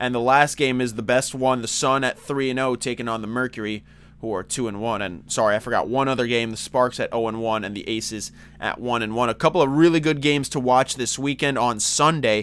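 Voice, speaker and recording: Energetic in tone, a man at medium pitch speaks at a fairly quick pace. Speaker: sports podcast host. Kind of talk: solo sports commentary podcast. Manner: casual, energetic.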